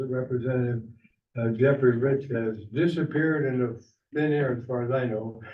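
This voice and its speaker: Medium-pitched male speech with fairly even intonation, a moderate pace and audible room echo. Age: 80s+. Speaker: committee chairman. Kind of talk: public meeting. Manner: halting.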